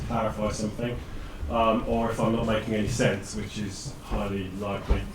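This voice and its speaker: Noticeable background noise and audible room echo surround a man with a British accent speaking at a moderate pace. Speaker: data scientist. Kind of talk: presentation. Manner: loud.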